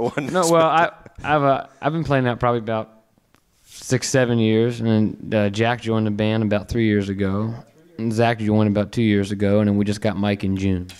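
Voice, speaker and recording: A man speaks at a moderate pace with fairly low pitch and ordinary pitch variation. His loudness stays very even. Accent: American. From Baltimore. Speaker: touring band member, musician. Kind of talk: interview answer. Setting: podcast studio interview guest. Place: studio. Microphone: handheld.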